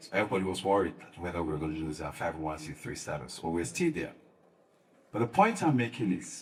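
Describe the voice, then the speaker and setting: A man with a very deep, low voice talks very fast and somewhat breathily with lively intonation, his loudness swinging widely amid audible room echo. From Sierra Leone. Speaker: faith-based advocacy leader. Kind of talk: panel discussion. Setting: conference panel.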